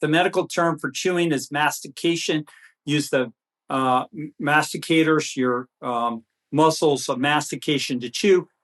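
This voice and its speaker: A man at a moderate pace, the sound dry and close with no echo. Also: quiet background. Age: 60s. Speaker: physician. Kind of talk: interview. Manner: halting, repeats words.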